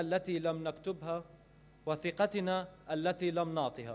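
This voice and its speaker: Speaking at a fairly slow pace, a man uses a high pitch. His intonation stays fairly even. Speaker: speaker. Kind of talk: formal speech. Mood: earnest, critical. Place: hall. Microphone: podium.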